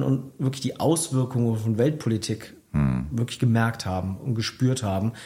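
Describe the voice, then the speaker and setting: The pace of this man's speech is moderate. He uses ordinary pitch variation. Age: 40s. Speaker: former district mayor, author. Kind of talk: radio interview. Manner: many fillers, hesitant.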